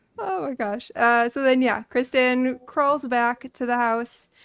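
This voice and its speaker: A woman speaks with an American accent. Her voice is high-pitched. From Texas. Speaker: livestream host. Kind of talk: panel discussion. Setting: livestream video call. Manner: casual.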